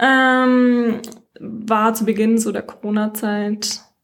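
A somewhat breathy woman's voice, fairly high in pitch. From Franconia, Germany (Nuremberg). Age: 20s. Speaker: psychology student, dating podcast guest. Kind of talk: casual chat.

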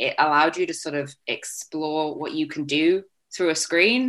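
Over a quiet background, a woman with a very deep, low pitch and a bright, sharp tone talks at a fairly slow pace with ordinary pitch variation. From Canada, Vancouver. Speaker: speech therapy student. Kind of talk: interview.

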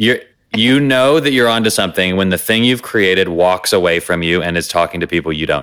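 This man speaks in a very deep, low voice at a fairly quick pace with lively intonation. His loudness swings widely. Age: 30s. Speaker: best-selling author. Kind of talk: casual interview.

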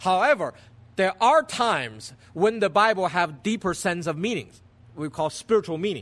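With a Chinese accent, the speaker uses lively intonation over a quiet background. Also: man. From China. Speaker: pastor. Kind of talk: sermon. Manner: halting.

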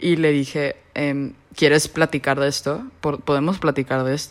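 On a very clean recording with a silent background, a woman speaks in a very deep, low voice. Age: 20s. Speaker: podcast guest sharing LGBTQ experience. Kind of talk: casual interview.

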